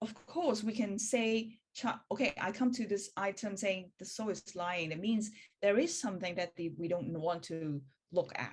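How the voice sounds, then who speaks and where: Somewhat breathy and fairly slow, a woman with a Hong Kong accent speaks with lively intonation. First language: Cantonese. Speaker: spiritual practitioner. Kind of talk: online meeting presentation. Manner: halting.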